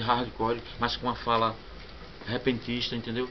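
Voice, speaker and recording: The man's voice sits at medium pitch and moves at a moderate pace. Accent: Sergipe. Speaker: punk band vocalist. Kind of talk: interview. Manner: halting, many repetitions.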